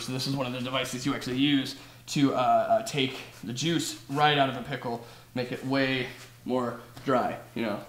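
Fairly even in intonation, a man speaks with audible room echo and light background noise. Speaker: comedic cooking host. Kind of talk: parody cooking show rant. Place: kitchen. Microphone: camera far.

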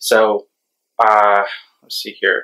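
In quiet surroundings, a man is talking. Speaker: cross-stitch vlogger. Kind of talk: casual vlog chat. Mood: relaxed, slightly self-deprecating. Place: home room.

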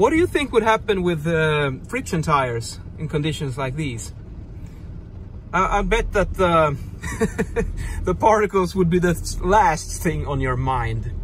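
Lively intonation at a fairly slow pace, dry sound with no echo and light background noise. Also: man. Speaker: driver vlogger. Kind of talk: casual vlog chat. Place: car. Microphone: phone near.

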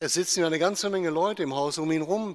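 A man talks at a moderate pace with a warm tone. The background is quiet. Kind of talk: sermon, homily to a congregation, explaining the Gospel. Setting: church. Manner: formal, calm, didactic; earnest, warm direct address to the congregation. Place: church. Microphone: podium.

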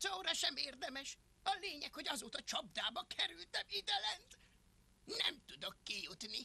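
A female-sounding, put-on character voice, high in pitch, with very wide pitch swings. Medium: fan dub. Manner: defensive, whiny, embarrassed.

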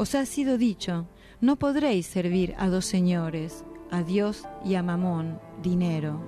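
A woman speaks at a fairly slow pace with a medium pitch and lively intonation. Music plays in the background. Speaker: radio announcer. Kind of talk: religious message reading.

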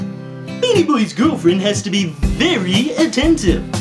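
Clear music plays in the background as a man performs a cartoonish character voice. He talks at a fairly slow pace and a high pitch. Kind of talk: comedy puppet show dialogue.

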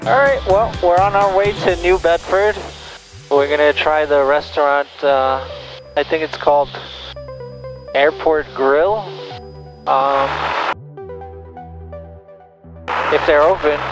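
The speech moves at a very slow pace with long, frequent pauses. The sound is dry with no echo, and clear music plays in the background. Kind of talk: casual cockpit chat. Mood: relaxed, slightly concerned about weather. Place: plane. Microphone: headset.

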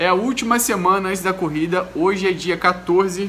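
Light background noise sits under a raised, projected voice. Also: man. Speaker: race organizer vlogger. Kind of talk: casual vlog chat. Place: home room. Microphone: phone near.

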